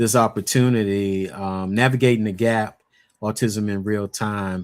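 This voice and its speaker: In an unremarkable speaking voice, a man talks at a fairly low pitch and a fairly slow pace. His intonation is fairly even, and the recording is very clean with a silent background. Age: 60s. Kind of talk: personal testimony in interview.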